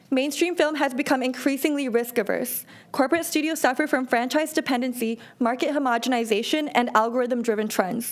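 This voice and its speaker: Speech moves at a fairly quick pace with hardly any pauses, very even loudness and ordinary pitch variation. Noticeable background noise is present. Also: woman, high pitch for a woman. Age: 20s. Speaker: animator and art entrepreneur. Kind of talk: business pitch. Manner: formal.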